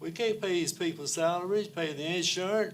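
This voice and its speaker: A man with a Southern US accent, high in pitch, at a moderate pace with ordinary pitch variation. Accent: US South. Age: 70s. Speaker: public commenter. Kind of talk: public comment at council meeting. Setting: county council meeting.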